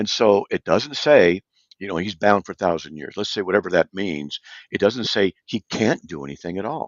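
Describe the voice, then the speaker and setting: A man talks in a normal speaking voice, fairly low in pitch, at a moderate pace. His intonation is lively, and his loudness swings widely. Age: 60s. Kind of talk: live talk show discussion. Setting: live online broadcast.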